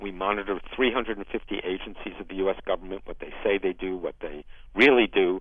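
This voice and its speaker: A man with a normal speaking voice talks at a moderate pace and fairly low pitch, his intonation fairly even but with big swings in loudness. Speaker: Olympic historian. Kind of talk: interview.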